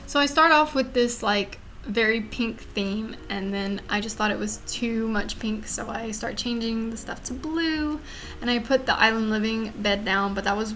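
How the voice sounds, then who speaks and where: Audible room echo and noticeable background noise surround this woman's voice. She speaks with a Louisiana accent at a fairly high pitch. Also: ordinary pitch variation, moderate pace. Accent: Southern US (Louisiana). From US South, Louisiana. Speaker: gaming YouTuber. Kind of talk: voiceover commentary on a speed build. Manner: casual, with fillers.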